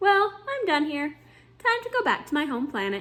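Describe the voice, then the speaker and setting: Using a put-on character voice, a woman sounds high and squeaky, with very wide pitch swings. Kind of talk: calm, formal.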